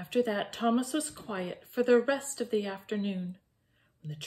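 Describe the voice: Ordinary pitch variation in plain reading aloud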